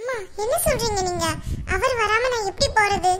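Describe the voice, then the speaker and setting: A woman speaks fairly slowly in a squeaky, cartoonish character voice pitched extremely high, with ordinary pitch variation. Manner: hesitant, stammering.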